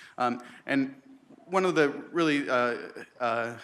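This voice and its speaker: A man speaks with a bright, sharp tone. His intonation is fairly even. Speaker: research program director. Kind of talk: conference presentation. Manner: fast.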